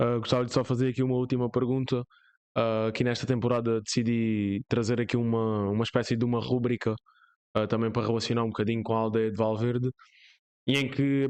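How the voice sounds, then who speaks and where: A man at a medium pitch speaks at a very fast pace, his intonation monotone and flat. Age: young. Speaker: podcast host. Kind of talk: interview.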